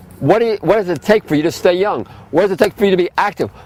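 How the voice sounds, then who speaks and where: A man speaks at a very fast pace in an animated tone, with ordinary pitch variation. The sound is dry and close with no echo, though noticeable background noise comes through. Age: 60s. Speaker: health food store owner giving a class. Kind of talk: lecture.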